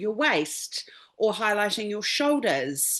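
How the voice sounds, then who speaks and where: A woman with a New Zealand accent speaking at a very slow pace over a quiet background. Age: 50s. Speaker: stylist. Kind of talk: webinar interview.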